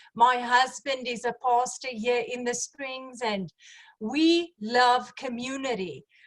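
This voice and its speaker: Speaking at a very slow pace, a woman with a South African accent uses a high pitch with ordinary pitch variation. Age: 40s. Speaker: network marketing distributor. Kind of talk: business opportunity presentation.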